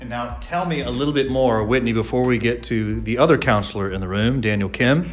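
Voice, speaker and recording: Talking at a fairly quick pace with hardly any pauses, a man at medium pitch shows ordinary pitch variation over noticeable background noise. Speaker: pastor and church podcast host. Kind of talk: casual chat. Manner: fast.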